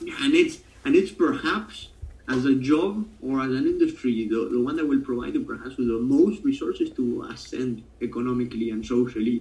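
Moderately paced speech in an Argentine accent. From Buenos Aires, Argentina. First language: Spanish. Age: 20s. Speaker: guest talking about his country. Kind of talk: casual interview chat.

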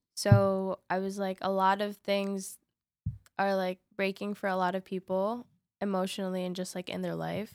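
A woman's medium-pitched, monotone, flat voice at a moderate pace, dry and close with no echo, on a very clean recording with a silent background. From New York City. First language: Spanish. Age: 20s. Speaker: singer-songwriter and poet. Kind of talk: casual interview.

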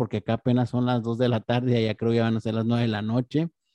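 The voice has a dark, mellow tone and moves at a fairly quick pace, with a dry, close sound and no echo. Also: man. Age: 30s. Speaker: podcast host. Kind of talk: interview.

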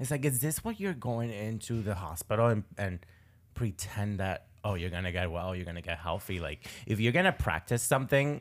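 A man with an unremarkable speaking voice, fairly low in pitch, lively in intonation, at a moderate pace, in a very clean recording with a silent background. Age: 20s. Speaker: podcast host. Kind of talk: casual interview chat.

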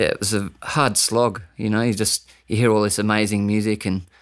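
In a very clean recording with a silent background, a man with an Australian accent speaks at a moderate pace in a fairly low pitch with monotone, flat intonation. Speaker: bass player and dub artist. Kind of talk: casual interview.

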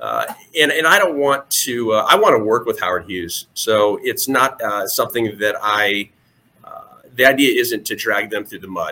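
Speaking at a moderate pace, a man's voice swings widely in loudness. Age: 40s. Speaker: local election candidate. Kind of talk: interview.

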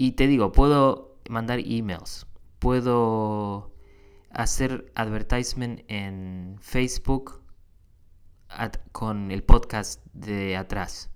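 A man talks at a very slow pace with fairly even intonation and big swings in loudness. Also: medium pitch for a man. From Argentina. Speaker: podcast host. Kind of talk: casual monologue. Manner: halting, many fillers.

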